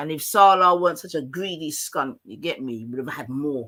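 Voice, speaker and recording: A man talks at a moderate pace in a high pitch, with ordinary pitch variation. His tone is bright and sharp, and the recording is very clean with a silent background. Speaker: livestream host. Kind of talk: casual chat.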